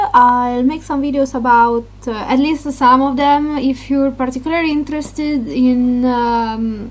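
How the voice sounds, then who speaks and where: A woman's high-pitched voice with a non-native accent, at a fairly slow pace, over noticeable background noise. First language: Italian. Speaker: gaming YouTuber. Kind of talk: casual vlog talk. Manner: halting, many fillers.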